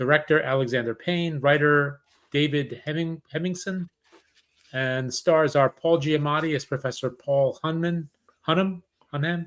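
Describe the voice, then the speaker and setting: A man talks at a moderate pace in a plain, everyday voice, fairly high in pitch. The intonation is fairly even and the sound dry and close, with no echo. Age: 50s. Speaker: podcast host. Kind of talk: casual chat. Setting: live podcast.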